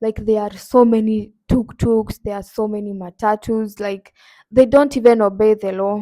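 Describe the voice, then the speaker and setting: A woman's fairly high voice with a dark, mellow tone and a Kenyan accent, at a moderate pace, in monotone, flat intonation. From Kenya, Nakuru. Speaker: YouTuber. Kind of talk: casual vlog.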